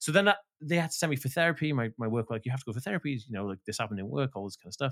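A man with a Welsh accent speaks at a very fast pace and medium pitch, his lively intonation caught in a dry, close sound with no echo. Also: very clean recording, silent background. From rural Wales. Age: 30s. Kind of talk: casual interview chat. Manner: talkative, fast; animated.

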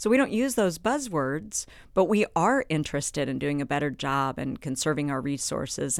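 A woman with an American accent speaks at a moderate pace with very wide pitch swings, on a very clean recording with a silent background. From Kansas. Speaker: rancher. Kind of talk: podcast interview.

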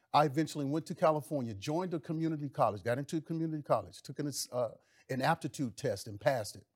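A somewhat breathy man with an American accent at a very fast pace, animated in tone, fairly high in pitch with ordinary pitch variation, in a dry, close sound with no echo and a very clean recording with a silent background. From US South, Mississippi. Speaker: former pro football player, pastor, congressional candidate. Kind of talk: talk show interview. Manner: preachy, animated.

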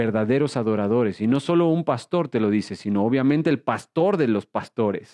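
A man speaks at a medium pitch and a fairly slow pace, with lively intonation. The sound is dry and close with no echo, and the background is quiet. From Mexico. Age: 30s. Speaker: pastor. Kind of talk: sermon.

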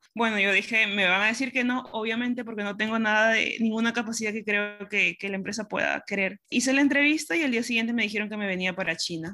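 A woman rushes along at a very fast pace with hardly any pauses and ordinary pitch variation. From Peru, Pisco. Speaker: operations director, industrial engineer. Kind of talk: interview.

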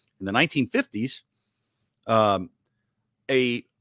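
A man's medium-pitched voice, dry and close with no echo, on a very clean recording with a silent background. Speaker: co-author of a novel. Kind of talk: casual interview. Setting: live-streamed podcast.

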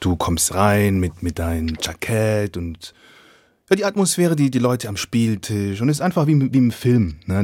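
In an unremarkable speaking voice, a man talks at a moderate pace, fairly low in pitch with lively intonation. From Swabia, southern Germany. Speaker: podcast host. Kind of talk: casual interview chat. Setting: video call.

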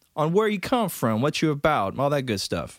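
Very wide pitch swings mark this man's fairly quick delivery. The recording is very clean, with a silent background. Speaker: podcast co-host. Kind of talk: casual banter, joking.

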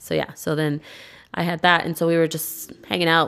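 A woman with a very deep, low pitch speaks with an American accent. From Modesto, California. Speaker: podcast guest. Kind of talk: casual chat. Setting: at her home.

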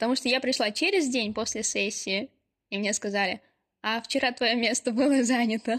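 A woman speaks at a moderate pace with a high pitch and ordinary pitch variation, in a dry, close sound with no echo on a very clean recording with a silent background. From Ulyanovsk, Russia. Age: 20s. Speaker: podcast co-host, university student. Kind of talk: casual chat.

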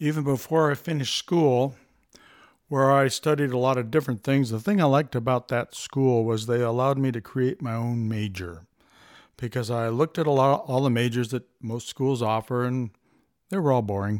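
A man with a plain, everyday voice speaks at a moderate pace and medium pitch, with ordinary pitch variation, in a very clean recording with a silent background. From US West Coast, Los Angeles area. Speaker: world traveler and builder. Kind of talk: interview.

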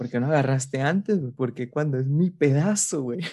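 A man with a Mexican accent, fairly high-pitched with a dark, mellow tone, at a moderate pace. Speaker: podcast co-host. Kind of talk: casual chat.

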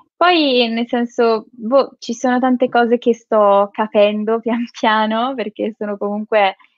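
Fairly high in pitch, a woman speaks in an unremarkable speaking voice. Her intonation is fairly even and her pace fairly slow. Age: 20s. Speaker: psychology student and social media creator. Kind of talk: interview.

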